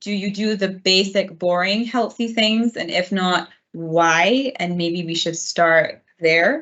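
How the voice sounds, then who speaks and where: Here is an unremarkable speaking voice, a woman at medium pitch with fairly even intonation. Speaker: dietitian. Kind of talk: webinar presentation. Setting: online webinar.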